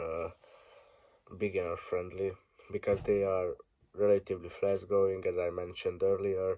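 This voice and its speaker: The background is quiet as a man talks at a moderate pace. He has a Hungarian accent. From Hungary. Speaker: ant keeper. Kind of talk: casual talk to camera.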